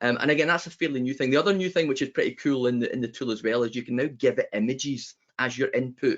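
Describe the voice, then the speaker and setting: With a Scottish accent, a man talks at a very fast pace, his medium pitch showing ordinary variation. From Scotland. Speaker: business founder, web designer. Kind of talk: panel webinar discussion. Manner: animated.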